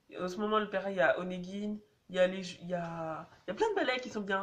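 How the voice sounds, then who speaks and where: A woman's medium-pitched voice at a fairly quick pace with fairly even intonation, over noticeable background noise. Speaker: dance vlogger. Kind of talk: casual vlog advice. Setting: on public transport, in a tunnel. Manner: casual, hesitant with many fillers.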